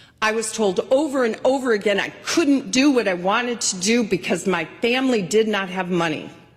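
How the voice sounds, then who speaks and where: A woman's fairly high pitch with lively intonation, a moderate pace and hardly any pauses, with music in the background. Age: 60s. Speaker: state legislator, minority leader. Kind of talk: floor speech. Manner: formal.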